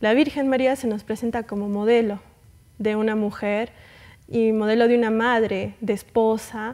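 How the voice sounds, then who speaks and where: Against a quiet background, a woman talks at a fairly high pitch with monotone, flat intonation. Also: moderate pace. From Arequipa, Peru; Peru. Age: young. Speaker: guest. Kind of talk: interview. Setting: studio. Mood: calm, warm, devout. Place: studio. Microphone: lapel.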